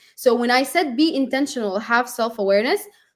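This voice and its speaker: The woman talks loudly and high, her intonation lively and her pace moderate. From UAE (Sudanese family). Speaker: tech industry professional. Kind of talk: interview on live stream. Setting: live stream.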